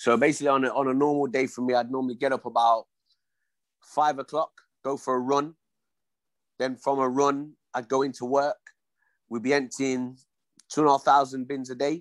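A man speaks with an East Midlands accent in a monotone, flat intonation. He leaves long, frequent pauses. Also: medium pitch for a man, moderate pace. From Leicester, England. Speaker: former professional boxer. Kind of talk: casual interview.

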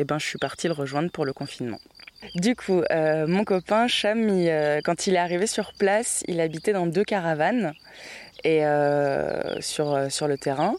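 Over noticeable background noise, a woman speaks at a fairly slow pace with a fairly low pitch and ordinary pitch variation. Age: 20s. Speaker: journalism student. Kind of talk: interview. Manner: hesitant, many fillers.

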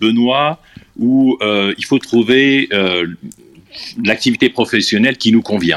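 The sound is dry and close with no echo as a man at a medium pitch talks with ordinary pitch variation and long, frequent pauses. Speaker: guest speaker in discussion. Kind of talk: group discussion. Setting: live audio chat room.

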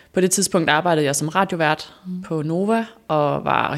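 A woman's very deep, low voice with vocal fry, ordinary pitch variation and a moderate pace. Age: 30s. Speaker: former radio host, influencer. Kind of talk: interview, personal story.

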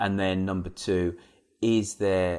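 A man speaks at a very slow pace in an English accent. The background is quiet. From England. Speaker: podcast host. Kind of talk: casual discussion.

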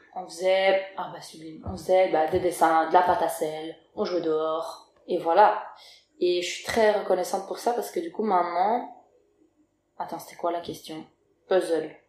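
At a fairly slow pace with long, frequent pauses, a woman with a fairly low voice speaks in fairly even intonation but big swings in loudness, amid audible room echo. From Belgium. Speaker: rapper and singer. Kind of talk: casual chat. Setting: at the host's home.

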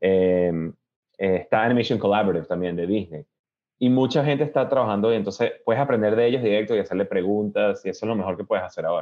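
A man rushes along at a very fast pace, his fairly low pitch showing ordinary variation. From Venezuela (Caracas), then Miami from age 10-11. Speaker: animation director. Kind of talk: interview. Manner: hesitant, many fillers and repetitions.

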